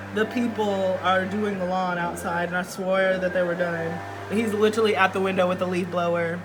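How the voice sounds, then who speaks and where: A woman's medium-pitched voice, monotone and flat, at a moderate pace with audible room echo and music in the background. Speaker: tarot reader. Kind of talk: tarot reading to camera. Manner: loud; projecting, theatrical.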